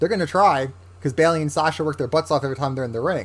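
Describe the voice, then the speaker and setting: A man with a plain, everyday voice speaks at a fairly high pitch with lively intonation. The recording is very clean, with a silent background. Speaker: wrestling podcast host. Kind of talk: casual commentary monologue.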